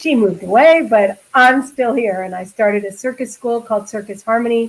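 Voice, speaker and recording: In an American accent, a woman with a fairly high pitch speaks at a moderate pace with ordinary pitch variation, a normal speaking voice. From New York. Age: 60s. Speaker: circus school founder. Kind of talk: interview.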